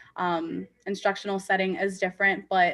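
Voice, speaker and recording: A woman talks with an unremarkable speaking voice. Her pitch is medium and her pace moderate. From US Midwest, Rockford, Illinois. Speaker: special education teacher. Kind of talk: panel discussion.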